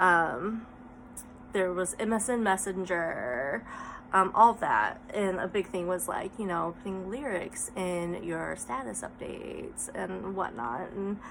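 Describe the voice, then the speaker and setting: A woman talks at a very slow pace with lively intonation and vocal fry. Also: medium pitch for a woman. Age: 30s. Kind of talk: casual vlog talk.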